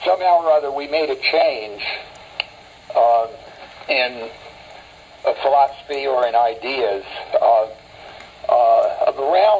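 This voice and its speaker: The delivery is very slow, with long, frequent pauses. Background noise is noticeable. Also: man. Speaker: war veteran. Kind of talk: interview answer. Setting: phone line. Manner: spontaneous, hesitant, lecturing.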